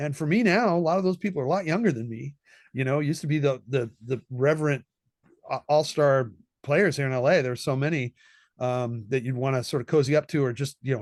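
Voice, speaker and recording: A man with a West Coast US accent speaks very fast at a fairly high pitch. His pitch variation is ordinary, and the background is quiet. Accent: General American (West Coast). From Southern California. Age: 60s. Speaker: session trombonist. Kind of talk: interview conversation. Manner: casual, with many repetitions and fillers.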